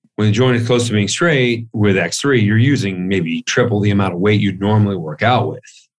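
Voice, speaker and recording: With an ordinary speaking voice, a man talks at a fairly low pitch with ordinary pitch variation and hardly any pauses. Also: moderate pace. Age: 40s. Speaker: author and fitness researcher. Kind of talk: interview.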